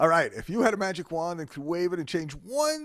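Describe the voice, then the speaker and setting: Very wide pitch swings in a New York accent. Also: man. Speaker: podcast host. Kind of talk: interview.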